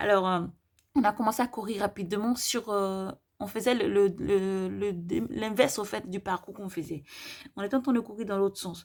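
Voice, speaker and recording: In a very clean recording with a silent background, a woman speaks at a medium pitch with ordinary pitch variation. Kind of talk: testimony of visions. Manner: fast; hesitant, many fillers.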